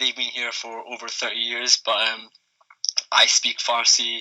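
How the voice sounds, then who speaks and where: A man speaks with a Scottish accent. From Scotland. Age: 20s. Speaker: youth football coach and fan. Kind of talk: podcast discussion.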